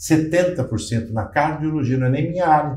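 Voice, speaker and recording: Somewhat breathy and dark, mellow in tone, a man's voice carries audible room echo. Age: 60s. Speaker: physician. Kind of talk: panel discussion.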